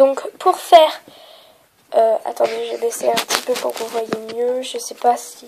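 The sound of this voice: Here a woman speaks in a dark, mellow tone that is nasal, with vocal fry and a slightly husky edge. Her intonation is fairly even and her pace fairly slow.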